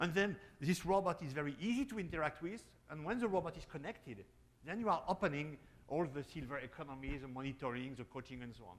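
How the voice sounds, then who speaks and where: Talking at a very fast pace in a French accent, a man with a fairly high pitch swings widely in loudness. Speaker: robotics company founder. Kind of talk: panel discussion. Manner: halting.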